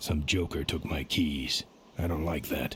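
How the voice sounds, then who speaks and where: Against clear background noise, a man uses a put-on, growling character voice with a very deep, low pitch, fairly even intonation and a moderate pace. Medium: short film. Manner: terse, gruff.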